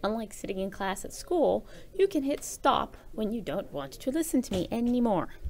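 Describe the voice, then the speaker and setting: This woman's fairly high voice, touched with vocal fry, moves through very wide pitch swings. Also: moderate pace. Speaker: teacher. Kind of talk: tutorial. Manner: casual.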